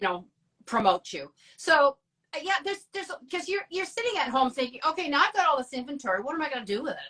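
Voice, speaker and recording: A woman talks in a raised, projected voice at a very fast pace. Her pitch is high and swings very widely. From Ontario, Canada (rural Dundas). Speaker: abstract artist. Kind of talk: casual chat.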